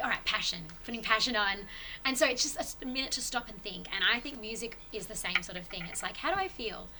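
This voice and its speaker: A woman with an Australian accent talks at a very fast pace, her pitch fairly high with ordinary variation. Noticeable background noise runs underneath. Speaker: podcast guest on spirituality. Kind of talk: casual chat.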